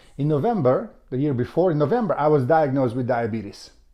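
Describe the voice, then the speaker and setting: Speaking fairly quickly with a Macedonian accent, a man uses a fairly high pitch that swings very widely. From North Macedonia. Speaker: author and health vlogger. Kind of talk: personal testimony to camera. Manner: halting, with fillers and restarts.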